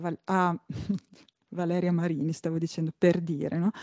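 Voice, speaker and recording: Recorded with a dry, close sound and no echo, a woman talks over a quiet background. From Emilia, near Bologna. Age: 40s. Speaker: violinist and composer. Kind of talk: interview. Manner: halting.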